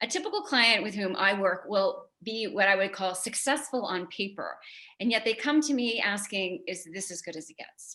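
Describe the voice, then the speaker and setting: In a New York accent, a woman speaks at a fairly quick pace. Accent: New York area American. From New York area. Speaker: psychologist. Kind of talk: inspirational talk. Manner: fast.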